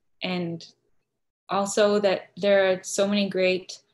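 A woman speaks at a fairly slow pace in a flat, monotone intonation against a quiet background. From Arizona, US. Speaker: seminary student; interview guest. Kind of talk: online interview. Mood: earnest, reflective. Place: home room. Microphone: video call.

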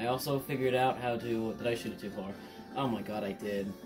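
Clear music plays behind a man speaking. His intonation is fairly even and his pace moderate. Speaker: gamer. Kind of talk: casual gaming commentary. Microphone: camera far.

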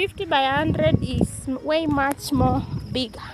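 The pace is fairly slow. The sound is dry with no echo, but the background noise is loud. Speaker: vlogger touring village land. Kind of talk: casual vlog chat. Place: open country. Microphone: phone near.

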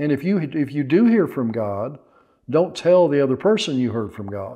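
This man talks at a moderate pace with a medium pitch and a dark, mellow tone. The background is quiet. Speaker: pastor and Bible teacher. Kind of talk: sermon-style teaching to camera. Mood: earnest, warm. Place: home room. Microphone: lapel.

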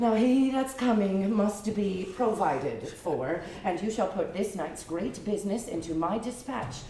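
A woman talks at a fairly slow pace amid light background noise and audible room echo. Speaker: stage actor. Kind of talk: theatrical verse performance. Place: stage.

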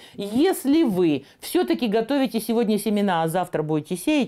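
Against a quiet background, a woman with a fairly high pitch speaks in a dark, mellow tone that moves through very wide pitch swings. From Siberia, Russia. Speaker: gardening TV presenter; TV presenter. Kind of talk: tutorial. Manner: animated. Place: kitchen. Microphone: lapel.

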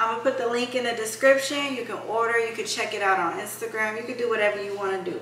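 Pitch varies in an ordinary way. There is audible room echo and light background noise. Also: woman. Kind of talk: casual vlog chat. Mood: upbeat and chatty. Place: kitchen. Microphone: camera far.

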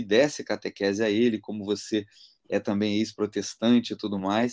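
Against a quiet background, a man with a fairly low pitch and an unremarkable speaking voice talks at a moderate pace. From Brazil. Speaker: interview guest. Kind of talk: conversion testimony. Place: home room.

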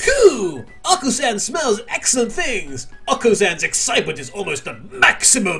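Someone puts on a robotic character voice at a moderate pace with hardly any pauses. Clear background noise runs behind it. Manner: excited, robotic, third-person.

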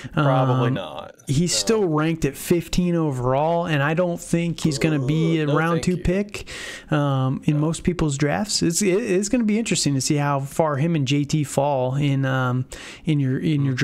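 A man with a plain, everyday voice speaks at a moderate pace in a fairly high pitch, with ordinary pitch variation, very even loudness and light background noise. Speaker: fantasy football podcast host. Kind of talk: casual chat. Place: home room.

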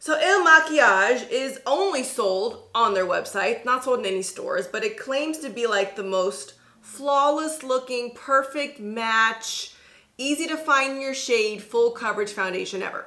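Against a quiet background, a woman with a high pitch speaks at a fairly slow pace with lively intonation. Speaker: beauty vlogger. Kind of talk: casual vlog chat. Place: home room.

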